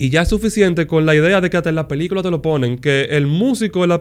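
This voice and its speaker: At a fairly quick pace, a man speaks in a plain, everyday voice with a fairly high pitch. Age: 30s. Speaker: music producer and mentor. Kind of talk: casual chat.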